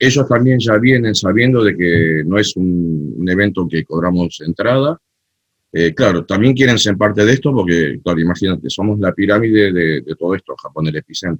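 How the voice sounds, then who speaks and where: Music plays in the background as a man with an Argentine accent speaks at a moderate pace and a fairly low pitch. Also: lively intonation. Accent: typical Argentine Spanish. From Argentina, Buenos Aires. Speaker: cumbia festival organizer and DJ. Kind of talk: interview conversation.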